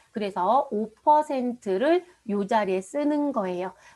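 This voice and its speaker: Here is a woman with a plain, everyday voice. Her pitch is fairly high and her intonation lively. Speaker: accounting and tax instructor. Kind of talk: lecture. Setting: online live class recording. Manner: engaging, frequent rhetorical questions to students.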